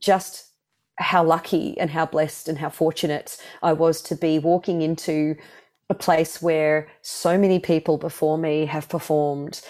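A woman with an Australian accent speaks at a fairly slow pace in a very deep, low pitch. Her intonation is monotone and flat, and the recording is very clean with a silent background. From Australia, Melbourne. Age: 40s. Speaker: singer. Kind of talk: casual chat.

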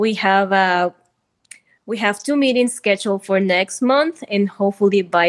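Fairly slow speech in a Spanish accent, with ordinary pitch variation and a dry, close sound with no echo against a quiet background. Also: woman. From Peru. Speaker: community organization founder. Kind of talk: interview.

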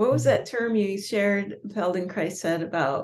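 A woman speaks in an unremarkable speaking voice, with an American accent. Her pace is moderate, with ordinary pitch variation. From California and Minnesota. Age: 50s. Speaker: podcast host, astrologer. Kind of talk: interview conversation.

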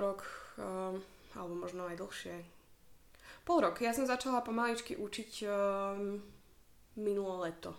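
A woman's medium-pitched voice at a fairly slow pace, with fairly even intonation, long, frequent pauses and audible room echo. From Slovakia. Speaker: yoga instructor. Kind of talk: casual chat.

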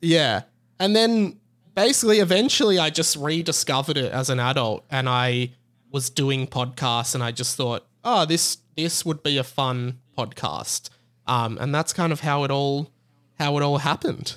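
Talking at a moderate pace with lively intonation, a man with an Australian accent has a fairly high pitch, in a very clean recording with a silent background. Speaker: podcaster. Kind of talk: casual chat.

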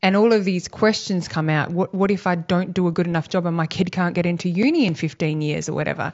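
In an Australian accent, a woman with a fairly low pitch speaks at a very fast pace with fairly even intonation. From Western Australia. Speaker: homeschooling parent and advocate. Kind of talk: casual interview. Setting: at her home.

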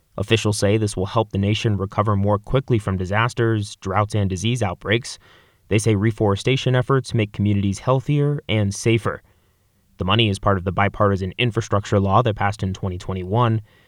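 A normal speaking voice with fairly even intonation at a fairly quick pace, in a dry, close sound with no echo and a very clean recording with a silent background. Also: man, fairly low pitch for a man. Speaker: radio reporter. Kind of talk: scripted radio news report. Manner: formal.

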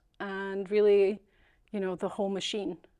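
The voice has a dark, mellow tone, captured on a very clean recording with a silent background. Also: woman. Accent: Scottish. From Scotland. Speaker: local government business systems analyst. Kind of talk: casual interview chat.

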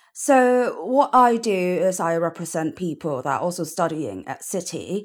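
At a moderate pace, a woman speaks in a fairly low voice with very wide pitch swings on a very clean recording with a silent background. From Hong Kong. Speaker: law student. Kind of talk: interview.

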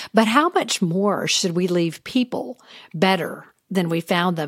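A woman's normal speaking voice, medium in pitch, with an American accent, lively intonation and a moderate pace, in a very clean, dry, close recording with no echo and a silent background. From US South. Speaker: podcast host. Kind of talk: interview. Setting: studio.

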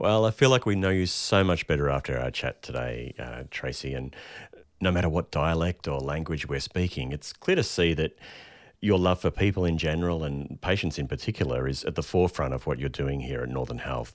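A man talks at a very deep, low pitch on a very clean recording with a silent background. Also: lively intonation, fairly quick pace. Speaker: podcast host. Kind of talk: interview.

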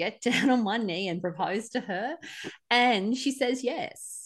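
Moderate-paced speech from a woman with an Australian accent against a quiet background. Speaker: podcast co-host. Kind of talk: casual chat.

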